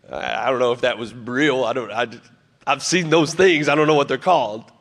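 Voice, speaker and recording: At a moderate pace, a normal speaking voice moves through ordinary pitch variation. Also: man, medium pitch for a man. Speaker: pastor. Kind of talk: church sermon; casual preaching to congregation, storytelling.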